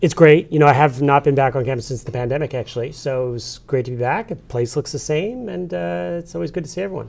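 The speech comes at a very fast pace. It carries an American accent. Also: man, medium pitch for a man. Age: 40s. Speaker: newspaper publisher. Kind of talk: interview. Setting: studio.

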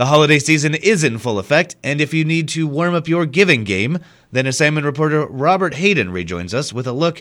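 This is an unremarkable speaking voice with lively intonation at a fairly quick pace. The recording is very clean, with a silent background. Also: man. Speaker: radio news anchor. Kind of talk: news reading. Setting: radio studio broadcast. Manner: formal, steady newsreader delivery; brisk and even.

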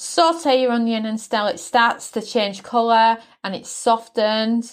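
A woman with a fairly high pitch and ordinary pitch variation talks very slowly. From Britain. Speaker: podcast host cooking. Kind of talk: recipe tutorial. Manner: friendly, instructional.

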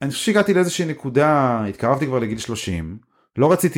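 A man talks at a fairly quick pace with very wide swings in pitch. The recording is very clean, with a silent background. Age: 30s. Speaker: startup CEO and co-founder. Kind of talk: casual interview chat.

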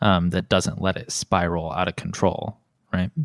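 A man speaks in a Midwestern US accent at a very deep, low pitch. The sound is dry and close, with no echo. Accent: US Midwest. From South Bend, Indiana. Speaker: podcast host. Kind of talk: casual chat.

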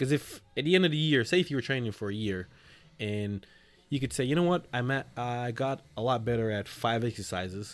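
A man with a plain, everyday voice speaks at a fairly quick pace and medium pitch, his intonation lively, on a very clean recording with a silent background. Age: 30s. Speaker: personal trainer. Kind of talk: casual chat.

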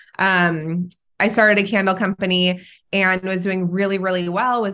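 A woman with a Californian accent speaks at a medium pitch and a moderate pace. Her intonation is monotone and flat against a quiet background. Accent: Californian American. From Southern California. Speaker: entrepreneur. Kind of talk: casual chat.

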